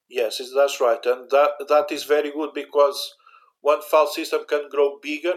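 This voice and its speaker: With a Portuguese accent, a man speaks in a monotone, flat intonation at a moderate pace and fairly high pitch, on a very clean recording with a silent background. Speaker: university IT infrastructure manager. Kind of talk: interview about backup software. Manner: halting, searching for English words.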